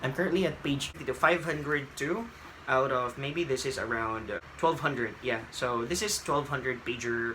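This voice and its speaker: In a Filipino accent, a man talks at a moderate pace and medium pitch with ordinary pitch variation, heard with audible room echo and noticeable background noise. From Philippines. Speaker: book vlogger. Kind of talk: casual vlog. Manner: hesitant, with fillers.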